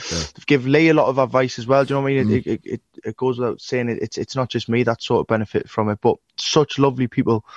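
In a northern English accent, a man speaks very fast at a medium pitch with fairly even intonation, the sound dry and close with no echo. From northern England. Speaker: musician. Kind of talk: casual interview chat.

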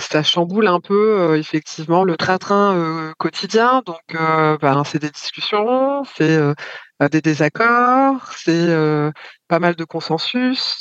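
The voice moves at a very slow pace with lively intonation, in a dry, close sound with no echo. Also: woman. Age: 40s. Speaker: mother sharing her experience. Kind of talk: testimony.

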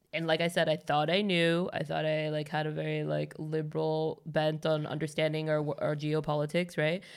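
This woman's voice sits very deep and low in pitch. She speaks with hardly any pauses on a very clean recording with a silent background. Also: moderate pace. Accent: American. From United States. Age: 30s. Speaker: podcast host. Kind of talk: casual chat. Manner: animated.

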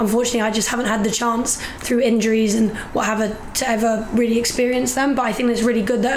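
A woman's fairly high voice at a very fast pace, amid noticeable background noise. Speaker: rugby player and personal trainer. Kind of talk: casual chat. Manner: excited, upbeat.

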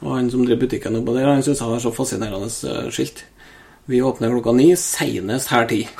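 Amid noticeable background noise, a man with a medium pitch speaks at a fairly quick pace. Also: ordinary pitch variation. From Norway, Trøndelag (Steinkjer area). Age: 30s. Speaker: hunter and ballistics enthusiast. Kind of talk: casual chat.

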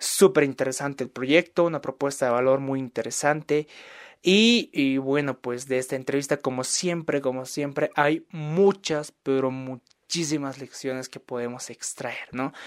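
Speaking at a moderate pace, a man with an unremarkable speaking voice uses a fairly high pitch and ordinary pitch variation. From Bolivia. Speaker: podcast host. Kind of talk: podcast monologue and interview.

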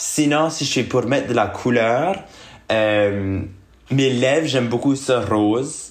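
Ordinary pitch variation marks this speech, which unfolds at a very slow pace. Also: man. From Acadia, Moncton, New Brunswick. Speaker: drag queen. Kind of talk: casual interview.

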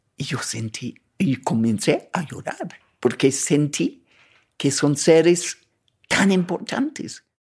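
At a very slow pace, a woman speaks with lively intonation. Her pitch is very deep and low. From England. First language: English (speaking Spanish). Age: 80s+. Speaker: traveler and writer. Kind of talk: personal storytelling interview.

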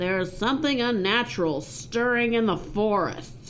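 A female-sounding, put-on character voice at medium pitch for a woman comes through over clear background noise. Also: moderate pace.

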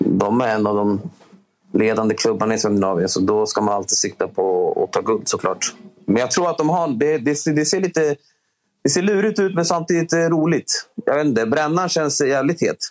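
A man talks at a moderate pace with a fairly high pitch, very wide pitch swings and very even loudness. Music plays in the background. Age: 30s. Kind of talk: interview.

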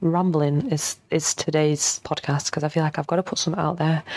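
A woman speaks at a fairly quick pace in a low pitch, with fairly even intonation and a slightly mellow tone.

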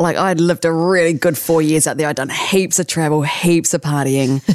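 A woman with a New Zealand accent, fairly low pitch and fairly even intonation at a moderate pace, in a very clean recording with a silent background. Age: 40s. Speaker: radio announcer. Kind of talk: casual chat. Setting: studio.

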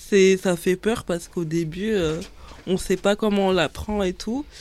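A woman's dark, mellow voice at medium pitch carries fairly even intonation on a very clean recording with a silent background. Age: 20s. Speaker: student and influencer. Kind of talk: casual chat.

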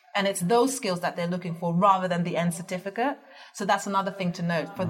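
Noticeable background noise is heard throughout. A woman talks over it at a very fast pace. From Netherlands. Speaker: business founder. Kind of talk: interview.

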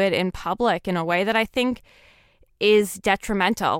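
Recorded very cleanly with a silent background and a dry, close sound with no echo, a woman uses a plain, everyday voice at a fairly slow pace with ordinary pitch variation. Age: 20s. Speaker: writer. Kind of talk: interview. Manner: casual, filler-heavy speech.

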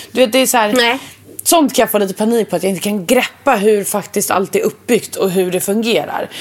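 Here a woman speaks at a fairly quick pace with a fairly high pitch and ordinary pitch variation. It is an unremarkable speaking voice. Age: 20s. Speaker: podcast co-host. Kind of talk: casual chat.

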